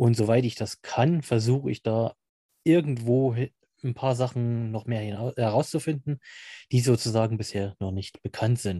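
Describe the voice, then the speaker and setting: At a fairly slow pace, a man speaks at a medium pitch with a dark, mellow tone and ordinary pitch variation, the sound dry and close with no echo over a quiet background. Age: 30s. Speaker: amateur paranormal investigator. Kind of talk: interview.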